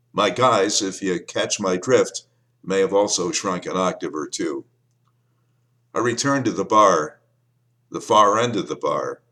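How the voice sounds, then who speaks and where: The man speaks at a fairly slow pace, leaving long, frequent pauses. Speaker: former radio disc jockey and author. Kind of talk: memoir reading.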